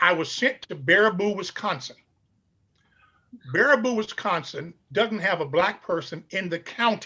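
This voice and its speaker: A man with an American accent speaks in a raised, projected voice at a high pitch, with a bright, sharp tone and lively intonation. He keeps a moderate pace but takes long, frequent pauses. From Chicago, US Midwest. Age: 70s. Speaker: pastor and scholar. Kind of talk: interview storytelling.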